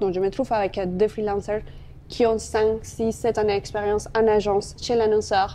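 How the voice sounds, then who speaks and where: Her tone is dark and mellow. The woman speaks at a moderate pace with fairly high pitch. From Colombia. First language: Spanish (speaking French). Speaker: marketing executive. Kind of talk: interview.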